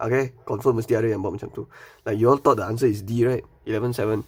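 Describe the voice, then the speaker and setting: A man's very fast, somewhat breathy speech with a Malaysian accent. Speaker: maths tutor. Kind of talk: online maths tutorial. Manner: casual, fast.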